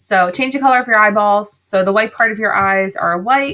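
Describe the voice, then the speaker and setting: At a fairly quick pace, a woman speaks with a bright, sharp tone and ordinary pitch variation. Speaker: art teacher. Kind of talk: tutorial. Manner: fast; animated.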